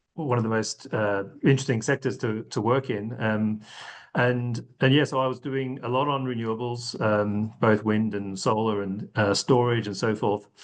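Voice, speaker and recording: The speaker keeps a moderate pace and fairly even intonation against a quiet background. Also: man, medium pitch for a man. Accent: slight Australian. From Australia, rural Victoria. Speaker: sustainability consulting executive. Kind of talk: podcast interview. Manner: hesitant with fillers.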